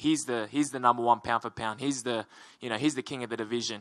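In a bright, sharp tone with an Australian accent, a man at medium pitch keeps a fairly even intonation in a dry sound with no echo against a quiet background. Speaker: MMA fighter. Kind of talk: media interview. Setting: media day. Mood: relaxed, smiling. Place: hall. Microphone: handheld.

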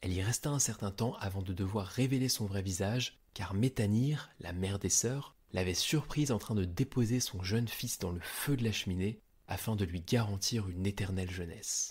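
Somewhat breathy speech comes through on a very clean recording with a silent background. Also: man, fairly low pitch for a man, ordinary pitch variation, moderate pace, hardly any pauses. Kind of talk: scripted mythology narration, storytelling. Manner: clear, measured, didactic storyteller pace.

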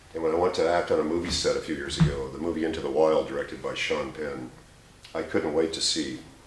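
A man's very fast speech amid audible room echo and light background noise. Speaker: radio voice hobbyist. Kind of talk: casual talk to camera. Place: home room. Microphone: camera far.

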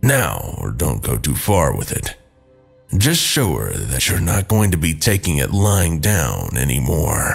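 With faint music in the background, a man speaks at a fairly slow pace in a raspy, put-on character voice with a very deep, low pitch. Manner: soothing, protective; casual, joking.

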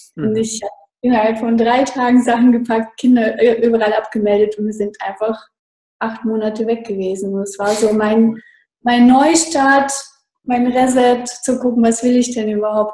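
At a moderate pace, a woman with a fairly high pitch speaks in a dark, mellow, somewhat breathy tone with fairly even intonation, against a quiet background with audible room echo. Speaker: online marketing consultant. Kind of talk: interview. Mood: cheerful, enthusiastic. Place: home room. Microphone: video call.

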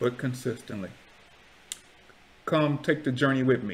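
The voice belongs to a man, pitched at a medium level. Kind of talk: casual talk to camera, YouTube commentary. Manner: preacherly, earnest. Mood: earnest, preachy.

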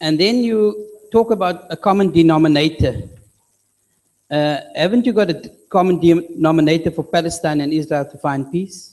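Here a man speaks high-pitched at a moderate pace, with ordinary pitch variation. His loudness swings a lot against a quiet background. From South Africa. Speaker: audience member. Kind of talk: audience question. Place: hall.

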